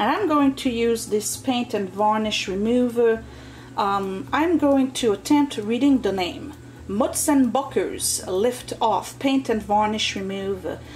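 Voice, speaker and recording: A woman talks at a fairly slow pace with lively intonation over light background noise. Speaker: home DIY vlogger. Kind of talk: casual DIY tutorial narration. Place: home room. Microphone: phone near.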